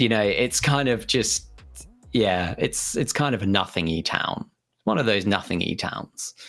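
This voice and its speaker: Music plays in the background as a man speaks with a British accent. His voice is fairly low and his pace fairly slow. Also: ordinary pitch variation. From southern England, Hampshire. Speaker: games community manager. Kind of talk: interview. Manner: halting, many fillers and repeats.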